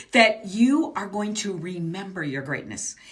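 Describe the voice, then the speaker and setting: A woman speaks at a fairly slow pace in a medium-pitched, somewhat breathy voice. Her pitch swings very widely. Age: 60s. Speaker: business mindset coach. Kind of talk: motivational coaching talk. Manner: animated.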